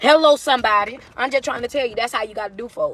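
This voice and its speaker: Over noticeable background noise, a woman speaks very fast in a raised, projected voice with a high pitch and an animated tone, the sound dry and close with no echo. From US South. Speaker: motivational speaker. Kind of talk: live stream rant. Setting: social media livestream. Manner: loud.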